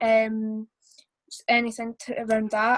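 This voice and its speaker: A woman speaks at a very slow pace with a Scottish accent. Her voice sits high, and the sound is dry and close with no echo. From Scotland, Perth/Angus. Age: young. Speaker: community member on panel. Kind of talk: panel discussion. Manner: hesitant.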